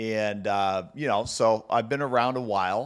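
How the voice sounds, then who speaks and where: At a fairly slow pace, a man talks in a plain, everyday voice with ordinary pitch variation. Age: 30s. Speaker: mortgage loan officer and podcast host. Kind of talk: casual solo podcast talk. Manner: conversational with many fillers.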